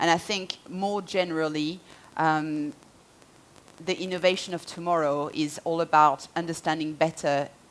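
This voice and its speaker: A woman speaks with a French accent in a fairly low pitch. Her pace is moderate and her intonation fairly even. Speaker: marketing executive. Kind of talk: conference talk.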